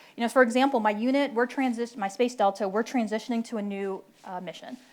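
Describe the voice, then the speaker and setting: A woman with an American accent speaks at a fairly quick pace. Her fairly high voice shows ordinary pitch variation. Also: very clean recording, silent background. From Philadelphia, US. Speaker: military officer, panelist. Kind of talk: panel talk. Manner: animated, conversational.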